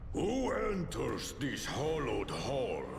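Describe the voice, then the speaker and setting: Over loud background noise, a man uses a put-on character voice at a very slow pace. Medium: game stream. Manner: solemn, formal.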